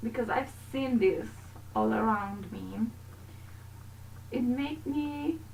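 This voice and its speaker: With a Romanian accent, a woman speaks at a very slow pace with long, frequent pauses, amid noticeable background noise and audible room echo. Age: 20s. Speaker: gaming YouTuber. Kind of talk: video game voiceover commentary. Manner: casual, halting.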